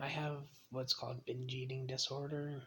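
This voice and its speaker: Soft-spoken yet bright and sharp in tone, a man at medium pitch speaks fairly quickly in a monotone, flat intonation. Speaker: vlogger living with mental illness. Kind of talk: personal confessional vlog. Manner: quiet, soft-spoken; hesitant, many ums.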